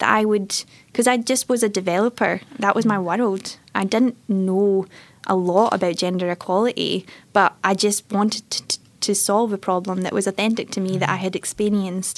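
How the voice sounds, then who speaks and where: A woman with a strong Scottish accent talks at a moderate pace in a medium pitch, her intonation monotone and flat. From Scotland, Airdrie (North Lanarkshire). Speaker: tech entrepreneur, former software engineer. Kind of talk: interview. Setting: studio.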